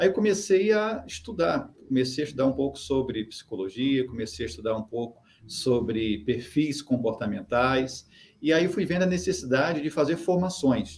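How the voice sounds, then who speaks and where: With a slight Carioca accent, a man speaks at a moderate pace in a medium, somewhat breathy voice whose pitch swings very widely. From Brazil, Rio de Janeiro. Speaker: human behaviour consultant. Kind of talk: interview. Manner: hesitant, filler-heavy.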